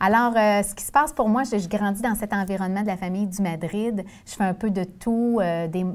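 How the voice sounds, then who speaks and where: This woman talks at a moderate pace in a Quebec accent, her medium pitch showing ordinary variation. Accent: Québécois French. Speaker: former nun turned sales director. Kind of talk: interview.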